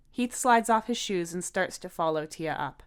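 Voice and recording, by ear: On a very clean recording with a silent background, a woman with a fairly low pitch and a clear, smooth tone speaks at a moderate pace with lively intonation.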